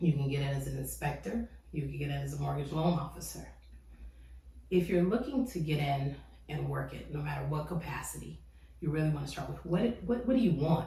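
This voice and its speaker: A woman talks at a fairly quick pace in an animated tone, with audible room echo. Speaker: real estate agent. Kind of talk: casual tutorial. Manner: fast.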